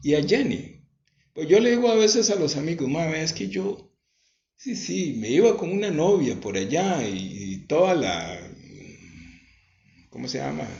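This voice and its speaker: A man with a Costa Rican accent speaks at a fairly slow pace with long, frequent pauses and audible room echo. His fairly high voice swings very widely in pitch and carries vocal fry. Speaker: religious home broadcaster. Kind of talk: testimony.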